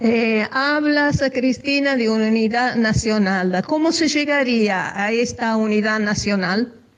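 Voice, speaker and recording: A woman's fairly high pitch with ordinary variation, an Italian accent, a very slow pace, hardly any pauses and very even loudness. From Italy. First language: Italian (speaking Spanish). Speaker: radio interviewer. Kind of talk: interview.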